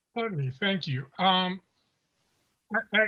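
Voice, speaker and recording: The speaker uses lively intonation in a French accent. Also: man. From Haiti. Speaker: retired ambassador. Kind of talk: panel discussion.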